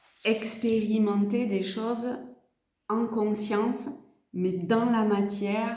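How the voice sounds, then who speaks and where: Monotone, flat speech at a very slow pace comes with long, frequent pauses and audible room echo. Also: woman, fairly high pitch for a woman. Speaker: tarot card reader and energy healer. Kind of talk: tarot reading guidance. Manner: speaking very softly today; halting, many fillers and repeats.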